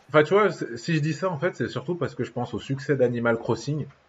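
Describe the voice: A man's medium-pitched voice with a slightly husky edge, lively intonation and a fast pace.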